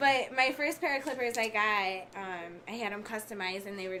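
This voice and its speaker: A woman talks in an unremarkable speaking voice at a moderate pace with ordinary pitch variation. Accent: American. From Michigan, Detroit area. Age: 20s. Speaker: barber. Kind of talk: casual interview.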